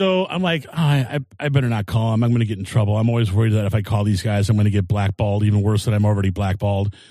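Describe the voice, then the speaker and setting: Over a quiet background, a man with a dark, mellow tone speaks at a very fast pace with hardly any pauses. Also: ordinary pitch variation. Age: 50s. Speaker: comedian. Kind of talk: casual chat.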